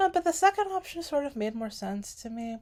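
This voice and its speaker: At a moderate pace, a woman speaks in a fairly high voice with a slight non-native accent. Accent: slight foreign accent in English. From US (immigrated from Sudan at young age). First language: Arabic. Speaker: aspiring special education teacher. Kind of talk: casual vlog monologue. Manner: hesitant, many fillers.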